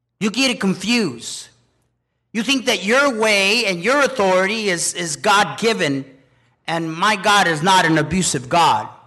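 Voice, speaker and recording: Raising and projecting his voice, a man speaks at a high pitch with a bright, sharp tone and lively intonation. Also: moderate pace. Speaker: preacher. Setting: church with congregation. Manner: emphatic, commanding, urgent pulpit delivery with punchy short declarations; animated, exhorting, pausing for congregation amens.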